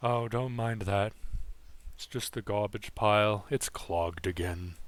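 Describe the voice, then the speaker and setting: The speaker uses a put-on character voice in a very clean recording with a silent background. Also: man, fairly low pitch for a man, moderate pace. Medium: actual play. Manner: casual, chatty.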